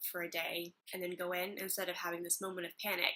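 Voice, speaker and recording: A woman speaks in a fairly low pitch with an American accent. Her tone is bright and sharp, her intonation monotone and flat. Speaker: acting student vlogger. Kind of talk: casual vlog.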